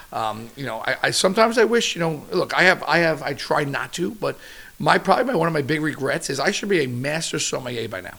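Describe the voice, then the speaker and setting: This man speaks loudly at a very fast pace, in a fairly high pitch. His pitch swings very widely. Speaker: chef. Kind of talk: casual chat. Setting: at home. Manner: animated.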